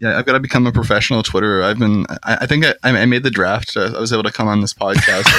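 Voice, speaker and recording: A man with an American accent talks very fast at a medium pitch, with hardly any pauses. His loudness stays very even and his intonation fairly even, with noticeable background noise behind him. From Seattle area, US Pacific Northwest. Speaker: podcast guest, social media poster. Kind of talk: casual chat. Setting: on a boat.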